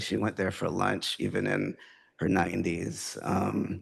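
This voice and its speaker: There is vocal fry in this man's voice. He talks at a fairly slow pace. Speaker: poet. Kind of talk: poetry reading with talk. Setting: stage with audience. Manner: hesitant, many fillers.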